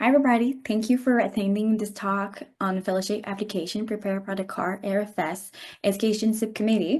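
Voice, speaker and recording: A woman talks very fast in a French Canadian accent, her voice fairly high and somewhat breathy. Her intonation stays fairly even. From French Canada. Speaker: webinar host, radiology resident. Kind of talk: online presentation introduction.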